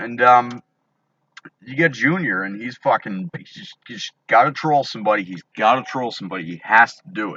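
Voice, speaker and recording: Shouting with big swings in loudness, lively intonation and a moderate pace. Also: man, medium pitch for a man. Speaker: vlogger ranting about online drama. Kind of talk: angry rant to camera. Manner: loud, yelling; halting, many fillers and restarts.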